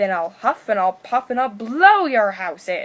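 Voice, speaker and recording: Bellowing in a put-on character voice, a woman with a fairly high pitch takes on a menacing tone. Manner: roaring, menacing.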